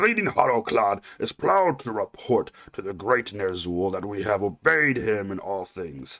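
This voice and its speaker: A man uses a put-on character voice at a fairly low pitch. He keeps a moderate pace with hardly any pauses. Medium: read story. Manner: proud, boastful.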